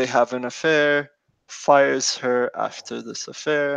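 A man talks at a fairly slow pace. The sound is dry with no echo, and the background is quiet. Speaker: podcast host. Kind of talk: podcast discussion, story summary. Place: home room. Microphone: headset.

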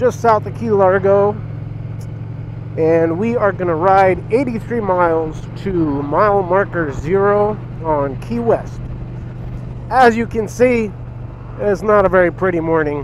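A man speaks at a fairly slow pace with a high pitch and lively intonation, leaving long, frequent pauses. The sound is dry with no echo, and background noise is noticeable. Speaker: motorcycle vlogger. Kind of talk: casual vlog chat. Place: motorbike. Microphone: helmet.

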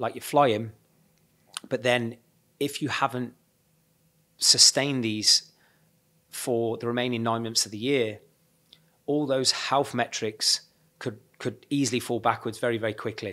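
A man's bright, sharp voice in a monotone, flat delivery at a moderate pace, with long, frequent pauses and a quiet background. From England. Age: 40s. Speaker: fitness coach; fitness coach, podcast host. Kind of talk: solo podcast monologue. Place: studio. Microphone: studio mic.

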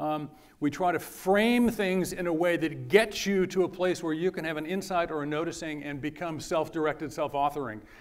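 Against a quiet background, a high-pitched man talks at a moderate pace with ordinary pitch variation and hardly any pauses. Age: 60s. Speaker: university design lecturer. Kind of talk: lecture. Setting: stage with audience. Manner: animated. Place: hall. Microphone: lapel.

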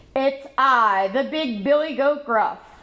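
At a fairly slow pace, a woman delivers a put-on character voice pitched high. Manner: bold, defiant.

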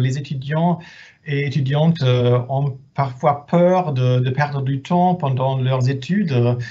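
A somewhat breathy, dark, mellow voice with a German accent and fairly even intonation. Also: man. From Germany. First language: German (speaking French). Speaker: head of department at exchange service. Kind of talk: webinar presentation. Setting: video conference. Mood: friendly, reassuring.

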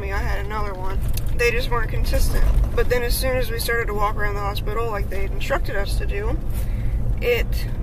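The delivery is very fast, the sound dry with no echo, and noticeable background noise runs underneath. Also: woman. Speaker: vlogger. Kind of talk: casual vlog chat. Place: car. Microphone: phone near.

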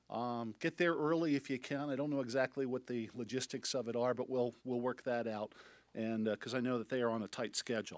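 A man talks at a fairly quick pace with fairly even intonation. The sound is dry with no echo, and the background is quiet. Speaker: club president. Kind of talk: meeting announcements. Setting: breakfast meeting hall. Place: hall. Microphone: podium.

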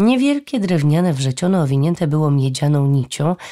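A woman's very deep, low pitch and dark, mellow tone at a moderate pace. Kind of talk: audiobook reading of fantasy novel, scripted narration. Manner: expressive storytelling, vivid and measured.

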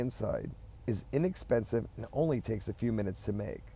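This man's voice has a dark, mellow tone with vocal fry. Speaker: channel host. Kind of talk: DIY science voiceover narration. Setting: recorded inside a parked car.

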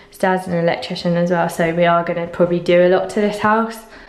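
A woman with a fairly low pitch speaks at a very fast pace, with audible room echo and light background noise. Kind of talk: casual vlog chat. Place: empty room. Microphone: phone near.

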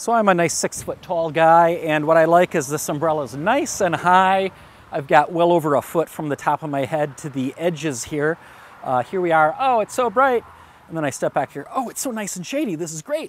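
This man talks at a fairly quick clip with a high pitch and lively intonation. The sound is dry, with no echo. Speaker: product reviewer. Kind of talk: product review talk. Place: garden. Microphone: lapel.

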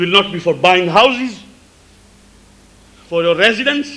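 A man's high-pitched voice, bright and sharp in tone, with lively intonation. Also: fairly slow pace.

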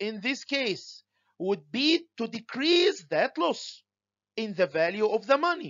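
A man with an Arabic accent speaks at an extremely high pitch. His intonation is lively and his pace fairly slow. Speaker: university lecturer. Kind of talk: lecture. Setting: home recording for online students.

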